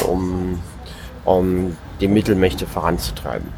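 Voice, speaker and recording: A man talks while background noise is noticeable. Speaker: podcast co-host. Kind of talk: informal report reading from a diary. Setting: on a moving train, noisy background. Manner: halting, with repetitions and filler words.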